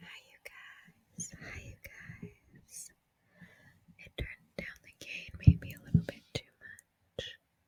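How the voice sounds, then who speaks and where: Someone is whispering. The pace is very slow. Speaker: ASMR creator. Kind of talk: whispered ASMR ramble. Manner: whispered.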